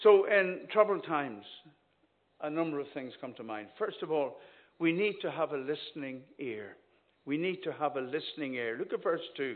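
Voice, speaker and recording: This man's voice is fairly high in pitch, and he speaks at a moderate pace. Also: lively intonation. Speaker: visiting minister preaching. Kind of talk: sermon. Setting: church. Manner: animated.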